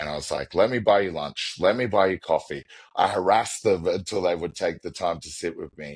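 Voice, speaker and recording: An Australian accent marks this man's very deep, low voice, which moves at a fairly quick pace with ordinary pitch variation and big swings in loudness. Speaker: business executive. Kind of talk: podcast interview.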